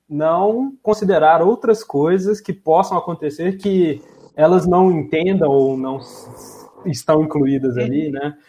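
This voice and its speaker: A man's high-pitched voice, dark and mellow in tone, with ordinary pitch variation. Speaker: podcast host. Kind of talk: casual chat. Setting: remote recording from home.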